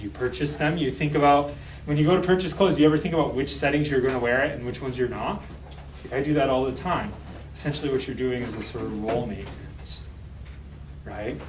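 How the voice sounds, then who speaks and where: A man with an American accent talks at a very fast pace at a medium pitch, with ordinary pitch variation, long and frequent pauses, audible room echo and noticeable background noise. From rural Michigan. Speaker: sociology professor. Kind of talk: lecture. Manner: conversational, many fillers.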